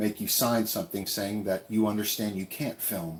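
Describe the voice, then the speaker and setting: A man's fairly low pitch at a moderate pace, with fairly even intonation. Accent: American. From California, with years in Texas. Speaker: travel vlogger. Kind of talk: live stream Q&A. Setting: tiny house in the woods. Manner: casual, relaxed.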